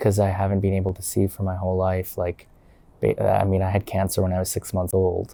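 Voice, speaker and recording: Dark and mellow in tone, a man's voice with a fairly low pitch. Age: 20s. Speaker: blind interview guest. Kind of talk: casual interview chat. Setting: library. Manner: halting, many fillers.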